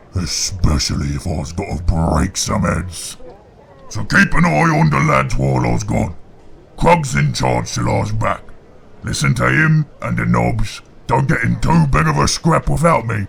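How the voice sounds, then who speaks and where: Using a put-on character voice, a man bellows in a gruff, very deep tone. His pace is moderate. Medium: read story. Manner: gruff, bellowing.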